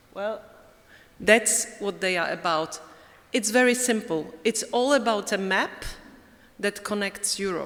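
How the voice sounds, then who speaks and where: A woman with a Polish accent speaks at a medium pitch and a fairly slow pace, her pitch varying in an ordinary way, with long, frequent pauses. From Poland. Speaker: European Commission director. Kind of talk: closing conference speech.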